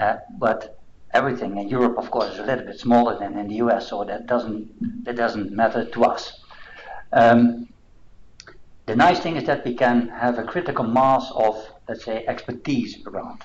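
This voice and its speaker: Light background noise accompanies a man speaking at a moderate pace in a Dutch accent. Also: medium pitch for a man, fairly even intonation. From Netherlands. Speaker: assessment institute director; presenter. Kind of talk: presentation. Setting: seminar room with online audience. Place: meeting room.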